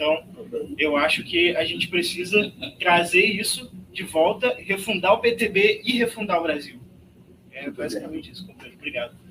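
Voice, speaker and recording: A man with a Rio de Janeiro accent speaks in a raised, projected voice at a high pitch, with big swings in loudness. Noticeable background noise is present. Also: lively intonation, moderate pace. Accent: Rio de Janeiro (carioca) accent, noticeable. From Rio de Janeiro, Brazil. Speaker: party youth organiser. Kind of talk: political meeting speech.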